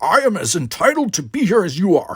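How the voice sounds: A man's put-on character voice, shouting and growling at a high pitch, with a husky, rough edge and big pitch swings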